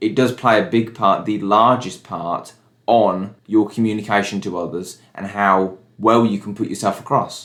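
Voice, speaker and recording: A man with an ordinary speaking voice, fairly low-pitched, moderate in speed, with ordinary pitch variation. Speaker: vlogger. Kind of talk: vlog.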